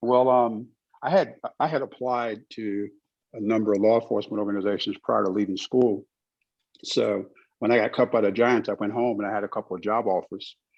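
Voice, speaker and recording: A man has a plain, everyday voice at a fairly low pitch. He talks at a fairly quick pace with fairly even intonation. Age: 50s. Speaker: retired federal agent. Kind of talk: panel discussion.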